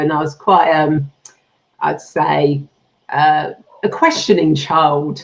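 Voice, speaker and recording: A woman with a British accent, very deep, low pitch and ordinary pitch variation. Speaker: spiritual healer, past life regression therapist. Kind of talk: interview.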